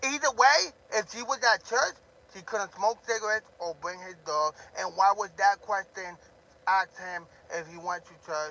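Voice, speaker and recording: A raised, projected voice shouts with big swings in loudness, the sound dry and close with no echo. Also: man, high pitch for a man, ordinary pitch variation, moderate pace. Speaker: drama livestreamer. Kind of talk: livestream rant. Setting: live stream. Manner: loud, yelling.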